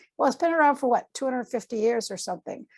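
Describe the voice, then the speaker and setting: A woman with an American accent talks in an ordinary speaking voice, fairly high in pitch with lively intonation. The recording is very clean, with a silent background. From Massachusetts. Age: 60s. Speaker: artist and art teacher. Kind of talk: casual interview chat.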